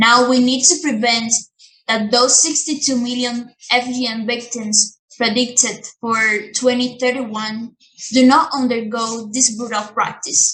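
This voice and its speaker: At a fairly slow pace, a woman talks with a high pitch and fairly even intonation. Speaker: performer of a monologue written in the voice of an activist. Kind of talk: social justice monologue.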